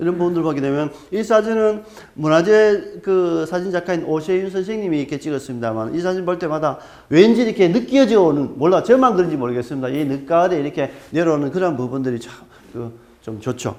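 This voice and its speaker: The voice moves at a fairly quick pace with lively intonation and big swings in loudness. Audible room echo and noticeable background noise fill the recording. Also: man, high pitch for a man. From Gyeongsang region, South Korea. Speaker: archaeologist lecturer. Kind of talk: lecture. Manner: hesitant, filler-heavy.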